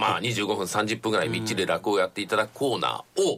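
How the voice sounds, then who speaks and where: Here a man is speaking. His pace is very fast. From Nagoya, Japan. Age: 60s. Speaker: radio announcer and comedy theatre manager. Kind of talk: radio interview. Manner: polite, fluent.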